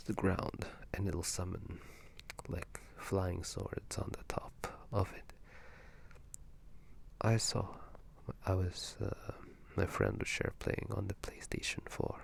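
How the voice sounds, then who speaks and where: The speaker whispers at a very slow pace. Long pauses come often. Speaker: video game commentator. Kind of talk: ASMR whispered gaming commentary. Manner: whispered, soft-spoken.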